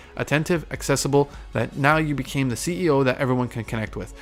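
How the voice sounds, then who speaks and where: The speech runs at a very fast pace over music in the background. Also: man. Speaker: podcast host. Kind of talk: solo podcast monologue, advice talk. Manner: halting with self-corrections.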